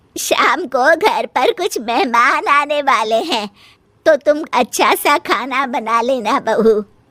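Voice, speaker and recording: In a cartoonish character voice, a woman speaks at a high pitch and a fairly slow pace with lively intonation, the sound dry and close with no echo. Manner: authoritative.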